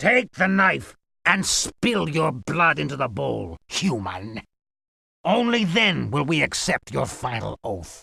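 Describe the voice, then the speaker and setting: Putting on a character voice, a man speaks fairly slowly at a fairly high pitch in a very clean recording with a silent background. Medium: video game. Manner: harsh, domineering.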